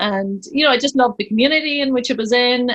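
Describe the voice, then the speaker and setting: Very fast speech with a Northern Irish accent, ordinary pitch variation, and a dry, close sound with no echo. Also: woman. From Northern Ireland, County Tyrone. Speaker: pharmacist and business owner. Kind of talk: podcast interview.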